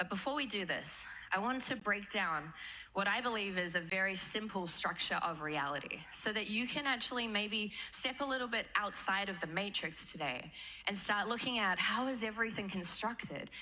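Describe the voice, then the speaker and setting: In a room with audible echo, a woman talks at a moderate pace with lively intonation. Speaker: manifestation teacher. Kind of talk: seminar talk to live audience. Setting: stage with audience. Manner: animated.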